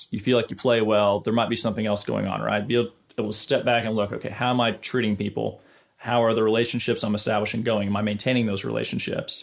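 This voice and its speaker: A man talking very fast at a medium pitch, fairly even in intonation, on a very clean recording with a silent background. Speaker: studio guitarist and YouTuber. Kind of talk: casual advice talk to camera.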